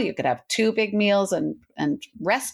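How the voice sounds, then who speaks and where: With lively intonation at medium pitch, a woman speaks in a very clean recording with a silent background. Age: 60s. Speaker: intermittent fasting coach and author. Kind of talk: podcast interview. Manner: animated.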